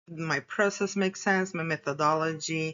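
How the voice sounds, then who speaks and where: A woman with a non-native accent. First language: not English. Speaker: graduate student researcher. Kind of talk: academic presentation. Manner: halting.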